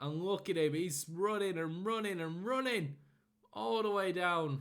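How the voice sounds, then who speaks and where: A man talks at a moderate pace with an animated tone and lively intonation. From northern England, Rochdale area. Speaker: gaming commentator. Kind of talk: live game commentary. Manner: sometimes stumbling over words.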